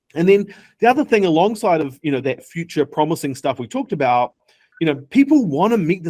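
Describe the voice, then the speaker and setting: A man with a New Zealand accent talks at a very fast pace in a fairly high pitch, his intonation lively. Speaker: tech startup founder. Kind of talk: interview. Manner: animated.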